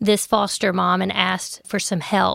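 A woman with a Southern US accent, medium in pitch, at a moderate pace, on a very clean recording with a silent background. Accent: Southern American. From US South, Memphis, Tennessee. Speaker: maternity home co-founder. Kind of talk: interview. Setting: studio.

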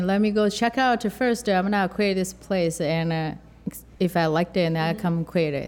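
Speaking with a Chinese accent, a woman uses ordinary pitch variation. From rural southern China. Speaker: chef and restaurant owner. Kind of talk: interview. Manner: halting.

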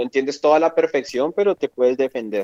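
A man speaks in an unremarkable speaking voice. The sound is dry and close, with no echo. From Colombia, Bogotá. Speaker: electronics engineer, former au pair. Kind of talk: casual interview. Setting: phone call.

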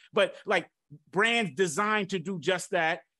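A man with an American accent raises and projects his high voice, his tone bright, sharp and animated. His intonation is lively, and the background is quiet. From Detroit, Michigan. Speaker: podcast host, marketing consultant. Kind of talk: casual interview chat. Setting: remote recording.

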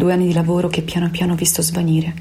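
A woman's fairly low voice rushes by at a very fast pace. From Veneto, Italy. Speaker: opera director. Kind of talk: personal testimony. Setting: home in quarantine.

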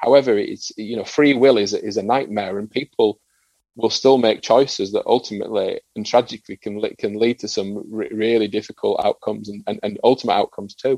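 A man with a northern English accent at a fairly quick pace, in a dry, close sound with no echo. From northern England. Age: 40s. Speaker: former rugby league player and psychotherapist. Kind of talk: interview. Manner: halting, with frequent repetitions.

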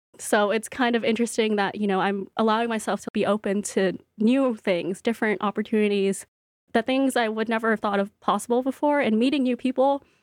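Delivered at a fairly quick pace, a normal speaking voice comes through with fairly even intonation and very even loudness, dry and close with no echo, on a very clean recording with a silent background. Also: woman, fairly high pitch for a woman. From US West Coast, Bay Area and Central Valley, California. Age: 20s. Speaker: cookbook author and baker. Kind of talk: interview. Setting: studio.

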